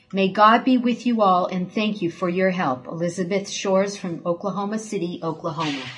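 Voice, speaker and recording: The speech runs at a fairly quick pace with hardly any pauses and ordinary pitch variation. Noticeable background noise is present. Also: woman, medium pitch for a woman. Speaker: ministry assistant. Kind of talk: reading aloud.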